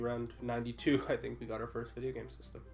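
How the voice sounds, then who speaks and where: Over music in the background, a man speaks at a fairly quick pace with audible room echo. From immigrant to Canada as a child. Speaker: gaming channel member. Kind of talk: casual chat. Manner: hesitant, many uh fillers.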